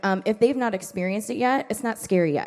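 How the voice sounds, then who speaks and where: The woman has an unremarkable speaking voice at a medium pitch with ordinary pitch variation. She talks fairly quickly against a quiet background. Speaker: ministry worker. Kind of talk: lecture.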